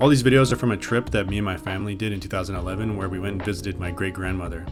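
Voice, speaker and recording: A man with a fairly low voice talks very fast with ordinary pitch variation as music plays in the background. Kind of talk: video essay narration.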